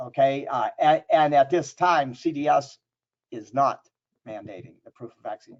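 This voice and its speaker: A man talks with fairly even intonation. His voice sits fairly high in pitch. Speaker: trade show marketing presenter. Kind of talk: webinar presentation. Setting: online webinar. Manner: fast.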